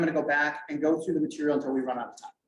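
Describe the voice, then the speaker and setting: Audible room echo surrounds the voice. It is a man talking with an American accent. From US Midwest, Wisconsin (Green Bay). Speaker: teacher presenting at an education conference. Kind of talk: conference presentation. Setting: conference room with remote viewers. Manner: fast; animated.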